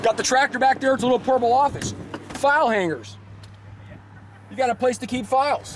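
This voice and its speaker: A man with an extremely high pitch talks at a very fast pace broken by long, frequent pauses, over noticeable background noise. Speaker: car salesman presenting a truck. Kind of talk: product walkaround sales pitch. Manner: animated, with many repetitions.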